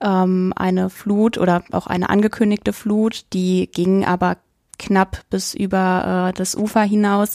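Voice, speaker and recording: A woman speaks at a medium pitch in a flat, monotone way. The sound is dry and close with no echo, and the recording is very clean over a silent background. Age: 20s. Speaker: university student, trainee primary school teacher. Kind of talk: interview conversation.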